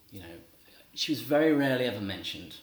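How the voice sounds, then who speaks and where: Noticeable background noise accompanies a man speaking with an English accent. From England. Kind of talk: religious talk to a live audience. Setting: talk to a live audience.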